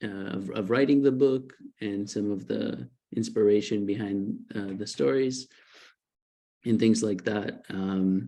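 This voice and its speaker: Speaking with an Israeli accent, a man uses a fairly low pitch, a dark, mellow tone, ordinary pitch variation and a fairly slow pace. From Israel, partly New Jersey. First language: Hebrew. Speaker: author. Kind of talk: informal author talk. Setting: online video event. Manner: halting, many fillers.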